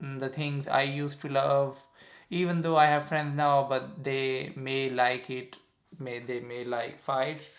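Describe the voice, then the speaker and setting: In a Pakistani accent, a man talks at a fairly slow pace in a flat monotone, with audible room echo around him. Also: fairly high pitch for a man. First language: Saraiki. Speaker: YouTuber. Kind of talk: casual vlog monologue. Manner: halting, filler-heavy.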